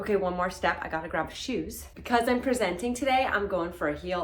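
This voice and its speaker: Noticeable background noise and audible room echo are present. A woman speaks at a moderate pace. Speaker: beauty vlogger. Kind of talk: vlog voice-over. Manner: soft-spoken.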